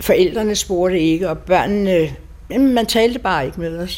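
A woman with lively intonation amid noticeable background noise. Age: 80s+. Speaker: survivor of wartime bombing. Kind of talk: personal testimony interview. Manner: halting.

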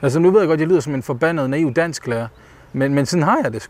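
Speaking at a very fast pace, a man has a fairly high pitch. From Denmark, Ikast area (Bosnian-born). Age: 30s. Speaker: debut novelist. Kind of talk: interview while walking. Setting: outdoors walking. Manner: halting, many fillers.

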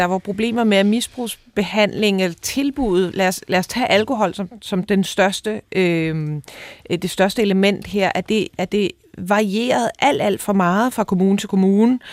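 In a very clean recording with a silent background and a dry, close sound with no echo, a woman with an unremarkable speaking voice talks fairly slowly at a medium pitch with ordinary pitch variation. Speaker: radio host. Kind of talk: radio discussion, interview. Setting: studio.

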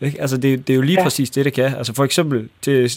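A man speaks with a fairly high pitch. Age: 30s. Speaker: entrepreneur. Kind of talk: casual chat. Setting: studio. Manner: hesitant with many fillers.

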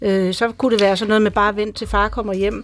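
Very fast talk from a woman, fairly high in pitch and fairly even in intonation. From Greenland. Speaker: motherhood expert. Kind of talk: radio panel discussion.

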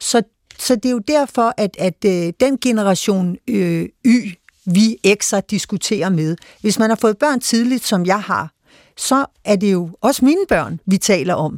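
A woman's very slow, lively-intoned speech, dry and close with no echo, on a very clean recording with a silent background. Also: medium pitch for a woman. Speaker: foreign news editor and panelist. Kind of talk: radio panel discussion. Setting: studio. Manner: hesitant, many filler sounds.

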